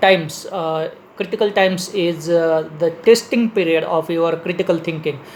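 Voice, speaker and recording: Noticeable background noise sits behind a man speaking in an Indian accent. His high voice moves at a fairly slow pace with fairly even intonation. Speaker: leadership speaker. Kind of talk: lecture. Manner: halting, many fillers.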